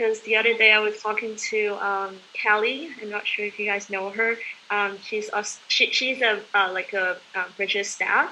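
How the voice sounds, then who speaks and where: Speaking with a Chinese accent in a fairly high pitch, a woman keeps a moderate pace with fairly even intonation and hardly any pauses, over noticeable background noise. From southeast China. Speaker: conference participant. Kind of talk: casual group chat. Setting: video call.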